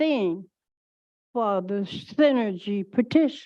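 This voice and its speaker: The woman's speech moves very slowly. Her intonation stays lively. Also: quiet background. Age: 80s+. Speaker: retired teacher, public commenter. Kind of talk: public comment at board meeting. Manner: loud.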